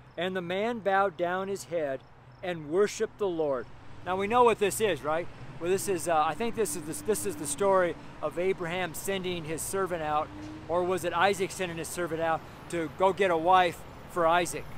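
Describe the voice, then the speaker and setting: A man talks loudly at a high pitch with ordinary pitch variation, the sound dry with no echo and light background noise present. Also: moderate pace. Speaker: street preacher. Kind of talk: sermon preached outdoors, preacher in full flow. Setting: outdoors on a street corner. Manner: fervent, animated, exclaiming with laughs; loud, raised voice over street noise. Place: street. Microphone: phone near.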